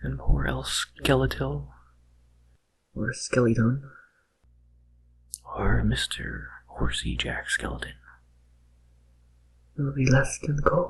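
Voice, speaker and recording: Soft-spoken and whispering, a man talks at a very slow pace with long, frequent pauses. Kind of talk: ASMR whisper narration of game facts. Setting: binaural microphone recording. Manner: whispered, soft-spoken, relaxing.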